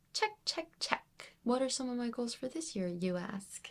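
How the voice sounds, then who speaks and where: A woman with an unremarkable speaking voice talks fairly slowly at a fairly high pitch. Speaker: book reviewer. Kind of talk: reading wrap-up video.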